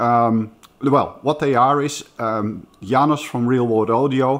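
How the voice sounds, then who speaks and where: A man speaking at a very slow pace with fairly even intonation. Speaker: speaker. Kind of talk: casual vlog chat. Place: home room. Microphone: phone near.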